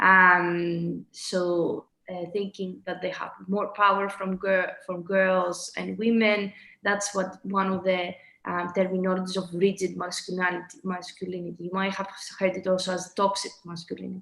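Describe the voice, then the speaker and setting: Her tone bright and sharp, a woman speaks in a monotone with flat intonation. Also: medium pitch for a woman, moderate pace. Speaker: presenter at online talk. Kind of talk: presentation. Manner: halting, many fillers.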